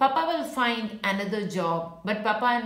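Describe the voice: The text is given as plain reading aloud with lively intonation.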